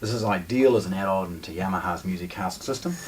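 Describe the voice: Faint background noise sits under a man speaking at a fairly quick pace. He has a low pitch and ordinary pitch variation.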